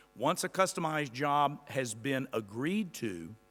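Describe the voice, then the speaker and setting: Lively intonation marks this man's fairly high voice. The recording is very clean, with a silent background. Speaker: employment consultant. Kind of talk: lecture.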